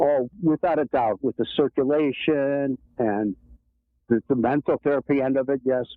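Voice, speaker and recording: Loudness stays very even as a man speaks in a Chicago-area accent. His pitch is medium, with ordinary variation, and his pace is moderate. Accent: Chicago-area Midwestern American. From US Midwest, Palatine, Illinois. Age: 60s. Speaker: e-bike rider and birder. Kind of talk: interview.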